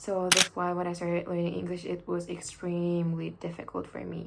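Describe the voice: A woman speaks at a fairly low pitch and a fairly slow pace, with vocal fry and audible room echo.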